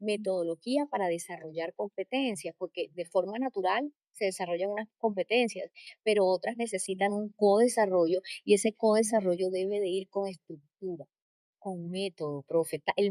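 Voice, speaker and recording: A woman's dark, mellow voice in a Colombian coastal accent, at a moderate pace with ordinary pitch variation, in a dry, close sound with no echo. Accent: Colombian coastal (costeño). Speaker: leadership coach and trainer. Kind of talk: interview.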